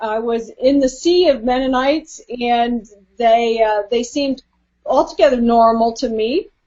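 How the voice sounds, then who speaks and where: A woman with an American accent speaks fairly slowly in a high voice, with ordinary pitch variation. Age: 60s. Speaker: author. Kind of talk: interview.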